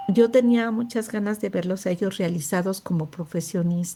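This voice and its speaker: A woman speaks in a somewhat breathy voice with a dark, mellow tone and fairly even intonation. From Mexico City. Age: 60s. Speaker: homemaker, cancer survivor. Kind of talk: testimony.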